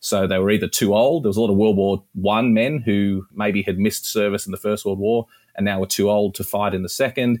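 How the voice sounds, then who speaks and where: A man with an Australian accent talks at a fairly quick pace with hardly any pauses, his pitch fairly low and his intonation fairly even. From Australia, rural New South Wales. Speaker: historian and author. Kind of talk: interview.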